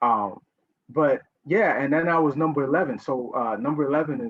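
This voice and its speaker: This man's intonation is lively, his pitch fairly high, and his pace fairly quick. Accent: New York. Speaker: writer and educator, panelist. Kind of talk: panel discussion. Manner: animated.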